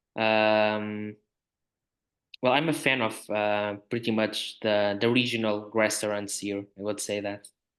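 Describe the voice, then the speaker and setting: The speaker has a Portuguese accent and talks at a fairly slow pace in a flat monotone. The background is quiet. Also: man. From Portugal, north (Porto). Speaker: film writer. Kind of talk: podcast discussion. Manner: halting, many fillers.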